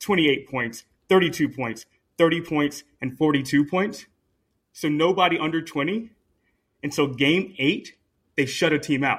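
In a very clean recording with a silent background, a man talks at a fairly slow pace with a fairly high pitch and ordinary pitch variation. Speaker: podcast host. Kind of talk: casual chat.

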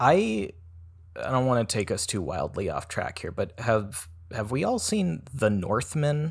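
A somewhat breathy man's voice at a fairly slow pace, with very wide pitch swings. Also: medium pitch for a man. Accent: American. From United States. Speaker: comedic actor in web series. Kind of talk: casual comedic chat. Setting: remote recording in a hot room. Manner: low-energy, subdued on mic.

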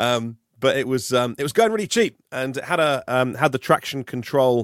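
A man with an English accent speaks in a medium pitch with lively intonation, the sound dry and close with no echo. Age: 40s. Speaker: EV podcaster. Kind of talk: casual chat. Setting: video call.

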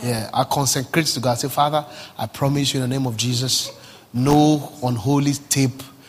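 Noticeable background noise behind a man's medium-pitched, moderately paced speech. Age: 30s. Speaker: pastor. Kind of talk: sermon. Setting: church service. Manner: animated.

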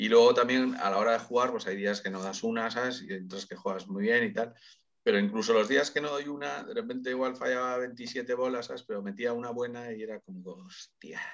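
A man's ordinary speaking voice at a medium pitch, with ordinary pitch variation and a fairly quick pace. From Spain, Getxo (Basque Country). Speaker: singer. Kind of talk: casual chat.

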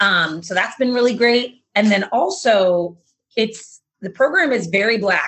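This woman has an ordinary speaking voice, pitched fairly high. She talks at a fairly slow pace with lively intonation. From Massachusetts, between Boston and Providence. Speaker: beginning farmer, farm training student. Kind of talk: interview conversation.

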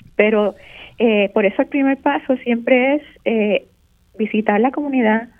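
A woman talks in a normal speaking voice at a fairly slow pace. Her pitch is fairly high, with ordinary variation. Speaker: architect and teacher. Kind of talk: radio interview. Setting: phone call. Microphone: very quiet on video call.

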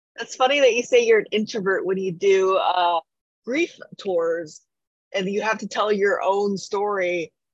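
A woman with an ordinary speaking voice, medium pitch, lively intonation and a fairly slow pace. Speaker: podcast co-host. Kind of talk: casual chat.

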